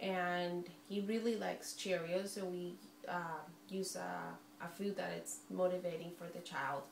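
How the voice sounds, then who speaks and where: Amid noticeable background noise and audible room echo, a woman with a Spanish accent speaks at a fairly low pitch with fairly even intonation. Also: fairly slow pace. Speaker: early intervention specialist and student. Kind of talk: class podcast presentation. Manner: halting, many fillers.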